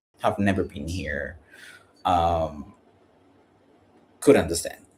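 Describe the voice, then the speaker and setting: This man's voice has a dark, mellow tone. There is a somewhat breathy quality to it. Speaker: vlogger. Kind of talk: live stream chat. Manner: halting.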